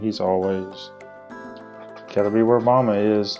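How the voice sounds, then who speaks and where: Over music in the background, a man with a fairly low pitch talks at a moderate pace. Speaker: husband doing voiceover for his wife's cleaning video. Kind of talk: casual talk to camera, voiceover commentary. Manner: casual, easygoing, conversational.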